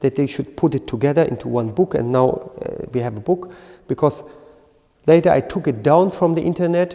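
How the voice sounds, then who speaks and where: A man with a German accent speaks at a fairly high pitch. His pitch variation is ordinary. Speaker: qigong teacher. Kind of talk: lecture. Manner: halting.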